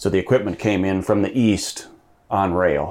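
At a moderate pace, a man with an Upper Midwest accent talks in a fairly low pitch and fairly even intonation. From Minnesota. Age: 40s. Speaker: farm equipment dealer. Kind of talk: interview. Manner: halting.

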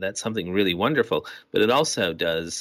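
The background is totally silent and the recording very clean. The speaker is a man. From Massachusetts (Fairhaven, New Bedford). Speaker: artist. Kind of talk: interview.

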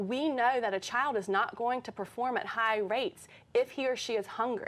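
A woman with an American accent, high in pitch, with ordinary pitch variation and a moderate pace, in a very clean recording with a silent background. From North Carolina, Durham. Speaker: teacher. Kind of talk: interview. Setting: studio.

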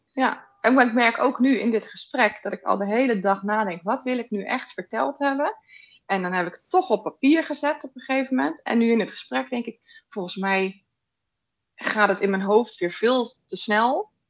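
A woman with an unremarkable speaking voice talks at a fairly high pitch and a moderate pace. Her intonation is lively. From Netherlands, Rotterdam. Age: 40s. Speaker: podcast guest sharing personal ADD story. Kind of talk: casual interview.

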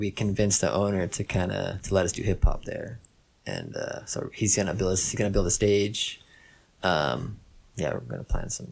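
At a moderate pace, a man talks in a fairly low voice with vocal fry. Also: ordinary pitch variation. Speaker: rapper and producer. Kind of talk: casual chat.

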